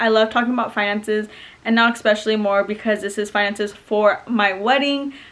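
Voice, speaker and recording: Noticeable background noise sits behind the speaker. A woman with a fairly high pitch talks at a very fast pace. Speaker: lifestyle vlogger. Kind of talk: casual vlog. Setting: at home in front of couch. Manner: animated.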